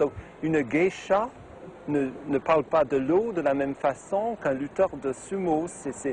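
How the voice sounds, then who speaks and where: Over noticeable background noise, a man talks with lively intonation at a fairly high pitch. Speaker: TV and radio presenter. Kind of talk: interview answer. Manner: lively, animated.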